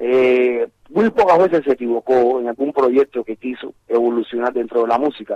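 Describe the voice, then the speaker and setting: A plain, everyday voice, this man talks at a medium pitch and moderate pace with ordinary pitch variation. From Cuba. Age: 50s. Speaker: musician. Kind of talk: interview.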